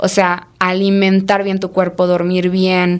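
A woman's flat, monotone delivery in a Mexican accent. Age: 20s. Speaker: entrepreneur. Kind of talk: casual chat. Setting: studio.

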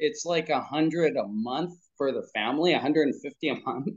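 A man with an American accent speaks at a moderate pace. Vocal fry runs through his voice. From US, Pennsylvania. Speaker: parenting coach. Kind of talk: interview.

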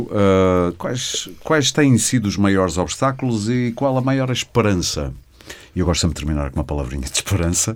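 Moving at a moderate pace, a man's fairly low voice makes very wide pitch swings. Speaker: podcast host. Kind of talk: interview podcast host. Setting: studio.

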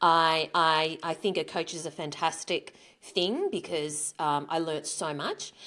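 The pace is fairly slow. The speaker talks in an Australian accent. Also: woman. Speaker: author, speaker and business owner. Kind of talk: interview.

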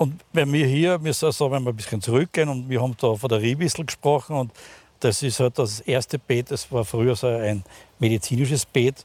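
A man talks at a fairly quick pace in a medium-pitched voice with ordinary pitch variation. The sound is dry and close, with no echo. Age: 60s. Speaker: pharmacist. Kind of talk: casual conversational interview. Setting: outdoors in a rooftop garden. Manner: halting, many fillers.

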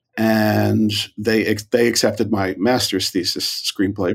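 A man's fairly low, monotone voice with vocal fry and flat intonation, in an American accent. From New York. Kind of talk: interview.

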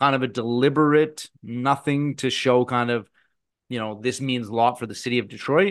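A plain, everyday voice from a man at medium pitch, moderate pace and ordinary pitch variation. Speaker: podcast co-host. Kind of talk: casual sports chat.

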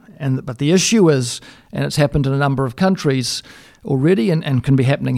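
With an Australian accent, a man speaks at a medium pitch with ordinary pitch variation. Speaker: dairy consultant. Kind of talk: interview. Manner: halting, frequent repetitions.

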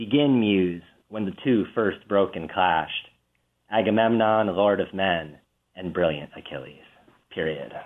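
The pitch varies in an ordinary way. Long pauses come often. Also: man, fairly low pitch for a man. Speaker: English professor. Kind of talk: literary discussion on radio. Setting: radio interview.

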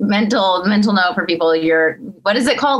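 At a fairly quick pace, a woman with a medium pitch and ordinary pitch variation talks in an unremarkable speaking voice. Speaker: screaming vocalist and podcast co-host. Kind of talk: casual chat.

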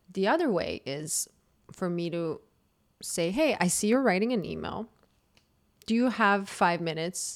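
In a Croatian accent, a woman speaks fairly slowly, with lively intonation and long, frequent pauses. The recording is very clean, with a silent background. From Croatia, Zagreb. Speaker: dating podcaster. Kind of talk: casual chat.

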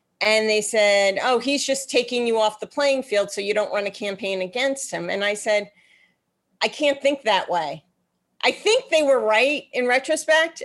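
A normal speaking voice from a woman, fairly high in pitch, with lively intonation at a moderate pace. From New York. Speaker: political strategist. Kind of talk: interview.

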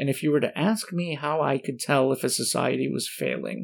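An American accent at a moderate pace, on a very clean recording with a silent background. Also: man. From Michigan, US. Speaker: professor. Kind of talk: casual chat. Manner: halting.

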